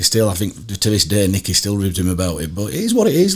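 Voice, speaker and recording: A man's fairly low, somewhat breathy voice with a Yorkshire accent, very fast, with very wide pitch swings. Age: 50s. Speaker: former rugby league coach. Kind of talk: casual interview chat. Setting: studio.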